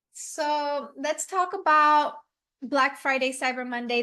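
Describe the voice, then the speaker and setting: Raising and projecting her voice, a woman speaks in a bright, sharp tone with fairly even intonation against a quiet background. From Puerto Rico. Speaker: e-commerce coach. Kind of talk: webinar presentation.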